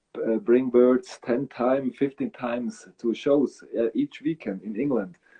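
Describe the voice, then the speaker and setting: A man with a Swiss German accent at a fairly slow pace, with ordinary pitch variation. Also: medium pitch for a man. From Switzerland. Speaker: bird breeder. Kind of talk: interview. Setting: live video stream.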